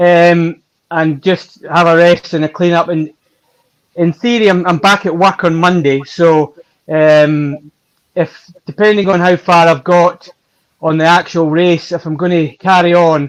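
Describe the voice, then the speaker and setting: A man with a slight Scottish accent speaks in a high voice at a fairly slow pace. His intonation is fairly even. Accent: Scottish, mild. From Scotland, West Coast. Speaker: ultra-distance cyclist. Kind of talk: interview.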